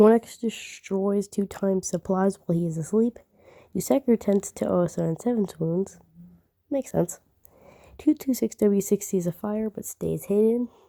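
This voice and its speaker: Quiet and dark-toned, a woman speaks at medium pitch with ordinary pitch variation, her mellow voice recorded dry and close with no echo. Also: moderate pace. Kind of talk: reading aloud a game simulator with commentary. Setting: late at night, speaking quietly. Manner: halting, frequent self-corrections.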